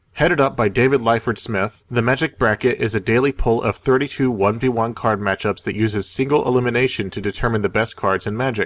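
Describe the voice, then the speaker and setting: Here a man with an American accent speaks at a very fast pace with hardly any pauses. His pitch is medium and his intonation fairly even. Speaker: magic card game news show co-host. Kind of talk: scripted news reading.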